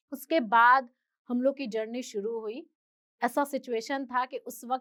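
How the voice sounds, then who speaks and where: Her intonation stays fairly even as a woman speaks at a high pitch. The sound is dry and close with no echo. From Bihar, Patna. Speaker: independent news reporter. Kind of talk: motivational talk.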